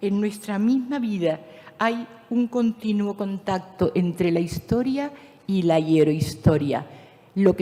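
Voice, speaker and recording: Fairly slow, lively speech from a woman at a medium pitch, with noticeable background noise. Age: 70s. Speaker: speaker at a conference, teacher. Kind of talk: conference talk.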